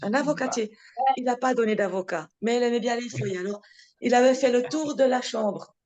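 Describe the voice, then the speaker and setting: Moving at a fairly quick pace, a woman speaks at a high pitch with ordinary pitch variation. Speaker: talk speaker at a devotee meeting. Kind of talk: casual chat. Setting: video call.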